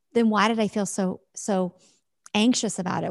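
Recorded very cleanly against a silent background with a dry, close sound and no echo, a woman speaks at a medium pitch and a moderate pace with fairly even intonation. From US Midwest. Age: 40s. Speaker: former network marketing leader. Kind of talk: interview.

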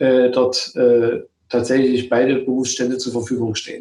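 A man is speaking. His pace is fairly slow. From Saxony and Thuringia, eastern Germany. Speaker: gynecologist and obstetrician. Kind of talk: interview.

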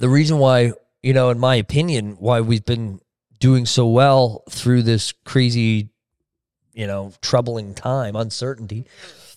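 A man with a Canadian accent speaks in a plain, everyday voice at a medium pitch and fairly slow pace, with fairly even intonation, big swings in loudness, and a dry, close sound with no echo. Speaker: real estate team leader. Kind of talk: casual interview chat.

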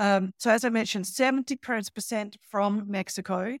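Speaking with an Australian accent, a woman at medium pitch talks at a moderate pace with ordinary pitch variation, in a dry, close sound with no echo on a very clean recording with a silent background. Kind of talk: casual chat.

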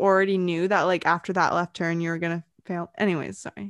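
Against a quiet background, a woman talks at a fairly quick pace with a dry, close sound and no echo. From Britain, raised in Vancouver, Canada. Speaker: podcast co-host. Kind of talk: casual chat.

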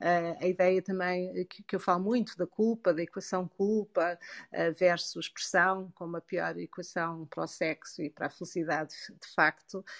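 Woman with a European Portuguese accent at a fairly low pitch and a fairly slow pace, with fairly even intonation, big swings in loudness, and a dry, close sound with no echo against a quiet background. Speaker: sexologist and psychologist. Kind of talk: interview. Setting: Clubhouse audio room.

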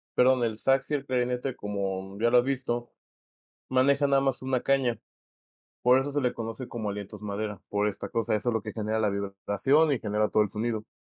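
A man at a medium pitch with a Mexican accent, very fast pace and fairly even intonation, in a dry, close sound with no echo. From Mexico. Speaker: musician. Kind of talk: casual chat.

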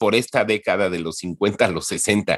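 A man speaks at a fairly slow pace, his pitch fairly low with ordinary variation. The recording is very clean, with a silent background. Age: 50s. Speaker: entertainment industry professional. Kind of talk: interview. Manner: halting, many repetitions.

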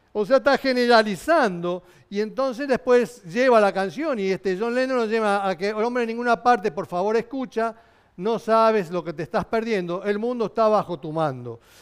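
The speaker uses a Rioplatense accent and keeps a moderate pace. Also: man, high pitch for a man, ordinary pitch variation. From Argentina, Buenos Aires. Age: 60s. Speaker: pastor. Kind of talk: sermon. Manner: halting.

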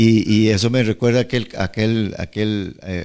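In a very clean recording with a silent background, a man with a normal speaking voice talks at a fairly slow pace, his pitch fairly low and his intonation fairly even. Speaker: pastor. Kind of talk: radio Bible teaching chat. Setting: radio studio.

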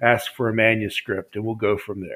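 Speaking with an American accent, a man keeps a medium pitch and a moderate pace. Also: very clean recording, silent background. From US, West Virginia. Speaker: publisher and author. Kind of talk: interview.

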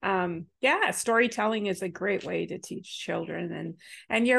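A woman's voice with vocal fry and lively intonation, at a moderate pace over a quiet background. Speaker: co-host. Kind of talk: casual chat.

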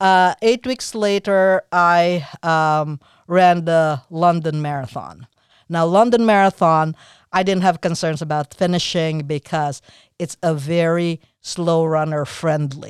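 Dry and close with no echo, on a very clean recording with a silent background, a woman speaks very slowly at a fairly low pitch with ordinary pitch variation. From Philippines. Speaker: marathon runner. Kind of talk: interview. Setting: studio. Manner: halting.

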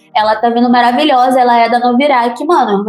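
Against noticeable background noise, a woman talks at a very fast pace in a high pitch. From Baixada Fluminense, Rio de Janeiro, Brazil. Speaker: rapper and singer. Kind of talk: interview.

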